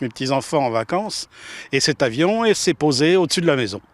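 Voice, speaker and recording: With lively intonation, a man talks at a fairly high pitch, the sound dry and close with no echo on a very clean recording with a silent background. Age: 60s. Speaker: former military pilot. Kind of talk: emotional interview. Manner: halting, hesitant.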